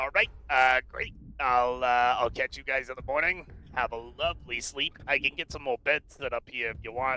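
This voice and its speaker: Using a put-on character voice, a man speaks at a moderate pace and medium pitch with fairly even intonation. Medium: actual play. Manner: casual, chatty.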